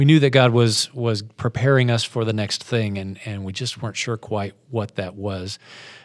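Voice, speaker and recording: A man talks at a moderate pace, his pitch medium and his intonation fairly even. The recording is very clean, with a silent background. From Iowa, US Midwest. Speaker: pastor and ministry director. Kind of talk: interview. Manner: halting.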